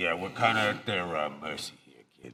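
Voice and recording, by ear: In a put-on character voice, a man speaks low-pitched with vocal fry and a bright, sharp tone, using lively intonation at a fairly quick pace on a very clean recording with a silent background.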